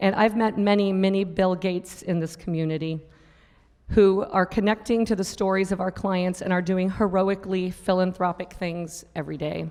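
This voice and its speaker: Her medium-pitched voice holds a monotone, flat intonation throughout. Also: moderate pace. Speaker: nonprofit executive director. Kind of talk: award acceptance speech. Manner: formal.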